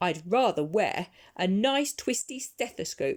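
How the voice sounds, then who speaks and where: A woman's put-on character voice, fairly high and fairly slow, with very wide pitch swings. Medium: read story.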